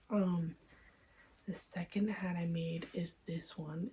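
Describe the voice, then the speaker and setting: This woman's voice sits at a fairly low pitch. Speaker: crochet vlogger. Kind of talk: casual vlog review. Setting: at home at night. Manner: soft-spoken; hesitant filler-heavy.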